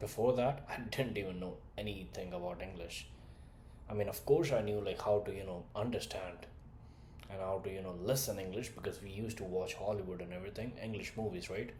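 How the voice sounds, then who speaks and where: In a slight Indian accent, a man with a fairly low, dark, mellow voice speaks somewhat breathily at a fairly quick pace, with ordinary pitch variation and audible room echo. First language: not English (third language). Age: 20s. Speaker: communication skills coach. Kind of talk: motivational talk to camera. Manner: direct, animated.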